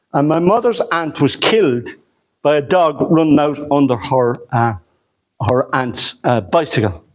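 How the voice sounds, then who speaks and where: This man speaks with a southeastern Irish accent at a fairly high pitch. His intonation is lively and his pace fairly slow. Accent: southeast Irish. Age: 60s. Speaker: historian. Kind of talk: lecture. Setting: hotel lecture room with audience. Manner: conversational with hesitations.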